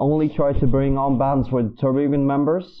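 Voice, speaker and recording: At a moderate pace, a man with a fairly high pitch speaks in a normal speaking voice. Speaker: music segment presenter. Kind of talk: scripted segment presentation.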